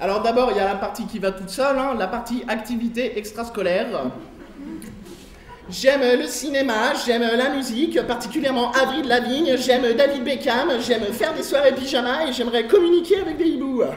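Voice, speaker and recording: At a moderate pace, a man talks at an extremely high pitch, with audible room echo and noticeable background noise. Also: ordinary pitch variation. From France, Lyon. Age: 20s. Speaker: comedian. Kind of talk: stand-up. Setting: stage with audience.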